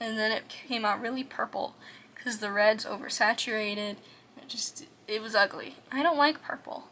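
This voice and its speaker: A soft-spoken woman with a fairly high pitch talks at a moderate pace. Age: 20s. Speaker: art vlogger. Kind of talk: casual chat. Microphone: quiet audio.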